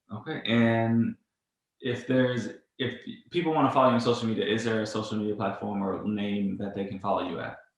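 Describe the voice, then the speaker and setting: There is audible room echo as a man speaks at a fairly quick pace. His medium pitch has ordinary variation. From Louisiana. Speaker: podcast interviewer. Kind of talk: interview.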